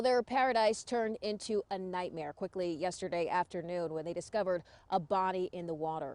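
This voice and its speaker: At a fairly quick pace with hardly any pauses, a woman speaks at a medium pitch with ordinary pitch variation in a dry, close sound with no echo. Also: quiet background. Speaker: TV news anchor and reporter. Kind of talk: TV news live standups and anchoring. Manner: confident, assured.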